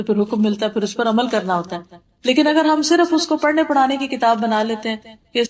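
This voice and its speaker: A woman speaks in a normal speaking voice. Her pitch varies in an ordinary way. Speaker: Islamic scholar giving a lecture. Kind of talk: religious lecture to an audience.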